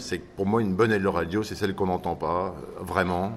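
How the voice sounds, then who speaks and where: A man with a very deep, low pitch talks in fairly even intonation. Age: 60s. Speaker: interviewee. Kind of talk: radio interview.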